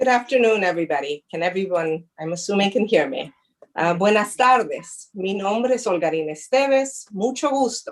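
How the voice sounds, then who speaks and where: A woman's medium-pitched voice in a Spanish accent, lively in intonation and at a fairly quick pace. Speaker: prosecutor. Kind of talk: presentation.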